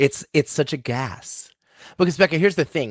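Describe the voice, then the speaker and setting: Recorded very cleanly against a silent background, a man speaks with vocal fry in a dry, close sound with no echo. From Rhode Island, Smithfield. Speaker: fitness instructor. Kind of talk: casual chat. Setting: podcast. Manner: animated.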